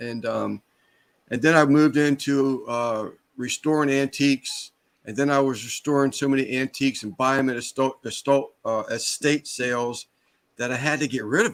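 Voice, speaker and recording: A man with an unremarkable speaking voice talks at a moderate pace. The sound is dry and close, with no echo. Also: medium pitch for a man, fairly even intonation. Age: 60s. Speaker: small business owner. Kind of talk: casual chat.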